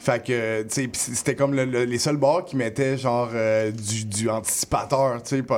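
Over noticeable background noise, a man talks with hardly any pauses and fairly even intonation. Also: medium pitch for a man, fairly slow pace. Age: 30s. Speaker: rapper. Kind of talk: casual interview. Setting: radio studio.

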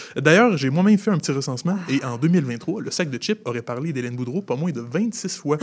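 Lively intonation at a moderate pace, against noticeable background noise. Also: man. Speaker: comedian radio panelist. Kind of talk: comedic news segment.

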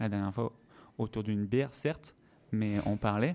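Pitched fairly low with ordinary variation, a man speaks at a moderate pace. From French Guiana. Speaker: stage actor. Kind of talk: radio interview.

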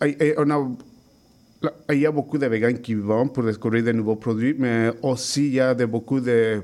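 Speaking at a fairly slow pace with a Spanish accent, a man uses a medium pitch and ordinary pitch variation. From Mexico. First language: Spanish (speaking French). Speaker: chef. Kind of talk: interview.

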